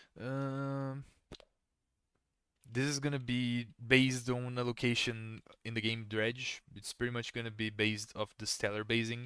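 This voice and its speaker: A man with a Portuguese accent speaks at a fairly slow pace. His tone is bright and sharp, his intonation monotone and flat. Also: medium pitch for a man. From Brazil. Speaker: gaming streamer. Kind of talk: casual chat. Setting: live stream.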